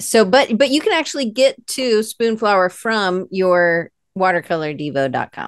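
A woman's medium-pitched voice with an American accent, fairly slow, with very wide pitch swings, dry and echo-free over a quiet background. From US South, Atlanta; US South. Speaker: podcast host; interview host. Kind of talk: interview. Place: home room. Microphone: earbuds.

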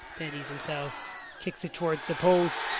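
The tone is excited and animated. There is noticeable background noise, and the sound is dry with no echo. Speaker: rugby match commentator. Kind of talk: live sports commentary. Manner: animated, fast-paced play-by-play; excited, punchy, rising at tries and kicks.

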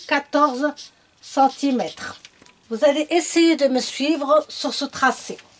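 The speaker is a woman. Her voice shows ordinary pitch variation. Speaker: sewing tutor. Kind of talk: tutorial.

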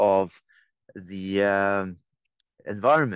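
A man is recorded with a dry sound, no echo, and a quiet background. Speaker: Buddhist teacher and sustainability activist. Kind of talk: talk to an online conference. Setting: video call. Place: forest. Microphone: video call.

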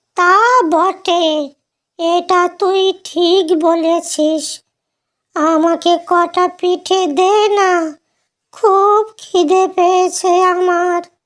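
In a cartoonish character voice, a man talks at a very slow pace with an extremely high pitch and a monotone, flat intonation. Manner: blunt, familiar, addresses with "tui".

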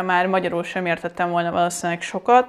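The background stays quiet. The speaker is a woman. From Hungary. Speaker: language teacher; language teacher, vlogger. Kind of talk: tutorial. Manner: hesitant, many fillers. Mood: reflective, anecdotal. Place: home room.

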